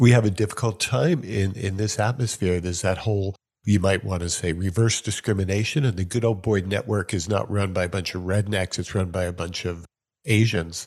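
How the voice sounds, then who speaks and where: He speaks with a normal speaking voice and an American accent, fairly low in pitch. The man keeps a fairly quick pace with ordinary pitch variation. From New York. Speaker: podcast host. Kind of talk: casual interview chat. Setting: video call.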